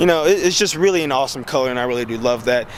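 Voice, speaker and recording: A man at a very fast pace and a medium pitch, with noticeable background noise. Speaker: car vlogger. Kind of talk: casual video review.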